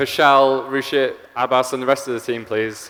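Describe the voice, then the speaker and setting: A man with an English accent, fairly high in pitch, at a moderate pace. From England. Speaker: software engineer, conference speaker. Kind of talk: conference talk. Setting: stage with audience.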